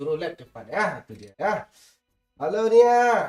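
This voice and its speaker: A man is speaking. His pace is fairly slow. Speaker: game streamer. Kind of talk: live stream chat while gaming.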